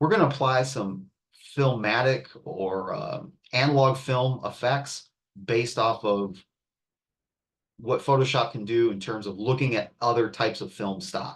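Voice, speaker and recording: Somewhat breathy speech from a man at a fairly slow pace, broken by long, frequent pauses. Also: medium pitch for a man, ordinary pitch variation. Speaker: art and design instructor. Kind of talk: class tutorial demo.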